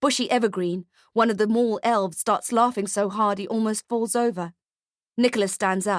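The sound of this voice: An unforced reading voice is heard, and the background is quiet.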